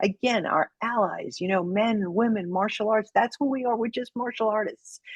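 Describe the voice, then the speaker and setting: With a Brooklyn accent, a woman speaks at a fairly quick pace in a dry, close sound with no echo. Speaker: judo instructor and federal agent. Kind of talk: podcast interview closing remarks.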